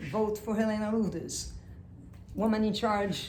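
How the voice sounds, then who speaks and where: A woman speaks with a French accent. Audible room echo surrounds her voice. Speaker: teacher and self-styled candidate. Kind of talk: mock campaign pitch. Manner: animated.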